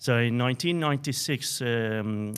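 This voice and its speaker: A man speaks with a non-native accent. His pitch sits in the medium range. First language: Arabic. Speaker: pharmacist and researcher. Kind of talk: interview. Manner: halting, many fillers.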